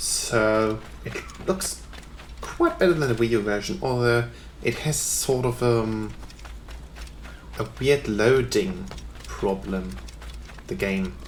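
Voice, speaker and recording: Very slow speech broken by long, frequent pauses, with audible room echo and noticeable background noise. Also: man. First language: German. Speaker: gaming YouTuber. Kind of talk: let's play commentary. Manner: hesitant, many fillers.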